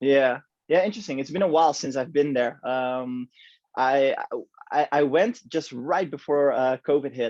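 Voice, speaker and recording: The speaker has a Dutch accent, a moderate pace and ordinary pitch variation. The sound is dry and close, with no echo. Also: man, fairly high pitch for a man. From Netherlands. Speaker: podcast host. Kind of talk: casual chat.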